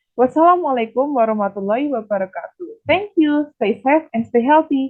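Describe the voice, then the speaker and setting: In an Indonesian accent, a woman speaks at a high pitch with lively intonation. Her pace is moderate. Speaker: nutrition student. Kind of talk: academic presentation. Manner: formal.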